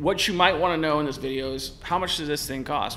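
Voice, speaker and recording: With light background noise behind him, a man talks at a very fast pace in a bright, sharp tone. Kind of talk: casual commentary to camera. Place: studio. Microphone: studio mic.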